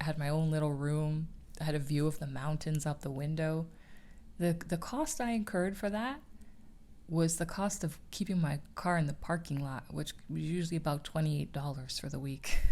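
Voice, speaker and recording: Soft-spoken and at a moderate pace, a woman talks with a very deep, low pitch, a dark, mellow tone and ordinary pitch variation. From Canada. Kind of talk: ASMR chat.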